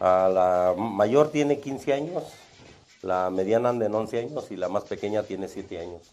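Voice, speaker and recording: With lively intonation and a fairly low pitch, a man talks at a fairly slow pace. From Salvatierra, Guanajuato, Mexico. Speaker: security guard. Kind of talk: interview. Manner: halting.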